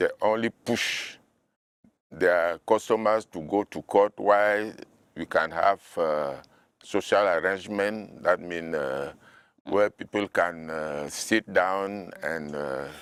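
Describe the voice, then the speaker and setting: A man speaks at a very slow pace in a very deep, low pitch. His pitch varies in an ordinary way. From Cameroon, Lekie Division. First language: local language, also French. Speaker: novelist. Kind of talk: interview. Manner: halting, repeats words.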